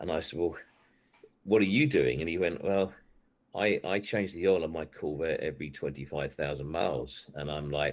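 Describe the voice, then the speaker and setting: A man's very deep, low voice with vocal fry and an English accent, at a moderate pace with ordinary pitch variation. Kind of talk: casual chat.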